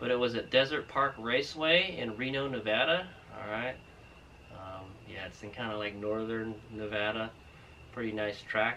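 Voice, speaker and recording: A man speaks at a moderate pace with big swings in loudness, ordinary pitch variation and long, frequent pauses, over light background noise. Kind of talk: casual vlog chat. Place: garage. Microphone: camera far.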